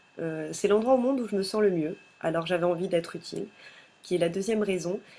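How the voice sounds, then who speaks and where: Fairly quick in pace, a woman speaks at a medium pitch. Her intonation stays fairly even. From Madagascar (Toamasina). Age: 20s. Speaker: pageant candidate, business student. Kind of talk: candidate self-presentation video. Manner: hesitant, frequent filler sounds.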